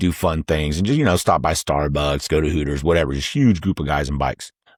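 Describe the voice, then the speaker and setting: Someone with an American accent speaks with ordinary pitch variation, in a dry, close sound with no echo. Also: man. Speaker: YouTube host. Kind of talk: casual storytelling. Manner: loud.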